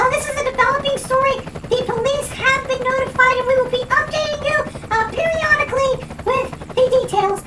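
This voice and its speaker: An extremely high, squeaky put-on character voice from a woman, fairly quick, with noticeable background noise. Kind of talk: parody TV news report. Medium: comedy sketch. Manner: hesitant, filler-heavy.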